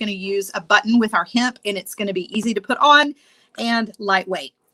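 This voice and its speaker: With a strong Southern US accent, a woman talks at a fairly quick pace in a fairly high pitch with ordinary variation. Her tone is bright and sharp, and the sound is dry and close with no echo. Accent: thick Southern US. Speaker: beading instructor. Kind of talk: tutorial. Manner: casual, chatty.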